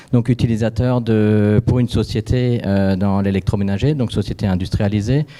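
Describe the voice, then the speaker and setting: The voice has a dark, mellow tone and fairly even intonation, with an Alsatian accent. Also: man. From Alsace, France. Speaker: company founder. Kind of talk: panel discussion.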